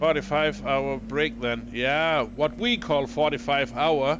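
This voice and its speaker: A man talks very slowly while noticeable background noise continues around him. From Denmark. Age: 40s. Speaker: video game streamer. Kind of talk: live gameplay stream chat. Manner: halting, many fillers.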